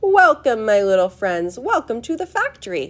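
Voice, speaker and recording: A female-sounding voice performs a put-on character voice, raised and projected at a fairly high pitch. It moves at a moderate pace with very wide pitch swings. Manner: welcoming, showy.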